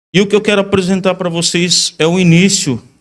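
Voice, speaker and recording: A man's high-pitched voice at a fairly slow pace. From Iguape, southern coast of São Paulo state, Brazil. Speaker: invited speaker at a religious congress. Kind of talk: sermon.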